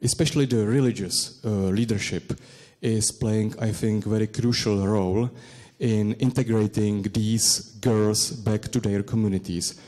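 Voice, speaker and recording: Recorded very cleanly with a silent background, a man with a Czech accent speaks at a fairly slow pace with a fairly low pitch, a dark, mellow tone and fairly even intonation. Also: very even loudness. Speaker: academic researcher. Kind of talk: conference presentation and Q&A. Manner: halting, many hesitations.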